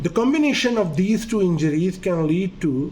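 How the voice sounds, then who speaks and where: With a Pakistani accent, a man talks at a moderate pace in a high pitch with lively intonation, amid noticeable background noise and audible room echo. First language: Urdu. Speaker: doctor. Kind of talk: lecture.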